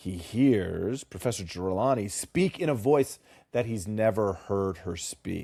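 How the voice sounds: A natural reading voice carries this clip.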